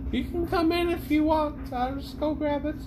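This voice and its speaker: A put-on character voice comes through at a high pitch. Loud background noise is present. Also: moderate pace. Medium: actual play. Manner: chatty, casual.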